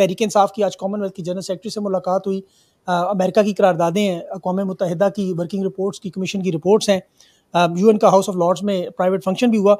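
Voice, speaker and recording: This man has a high pitch and a dark, mellow tone. His intonation stays monotone and flat. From Pakistan. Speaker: journalist and talk show host; show host. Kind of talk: news monologue; interview. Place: studio. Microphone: studio mic.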